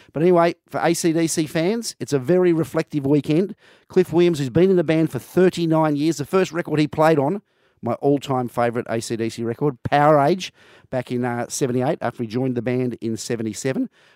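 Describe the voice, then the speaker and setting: A man with an Australian accent speaks at a moderate pace in a fairly high pitch with ordinary pitch variation and a dark, mellow tone, recorded very cleanly against a silent background with a dry, close sound and no echo. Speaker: music bar owner. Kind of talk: casual chat.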